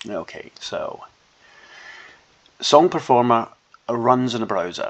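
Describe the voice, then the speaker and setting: A man speaks with a Scottish accent. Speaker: software developer demonstrating own app. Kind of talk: tutorial. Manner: casual, hesitant.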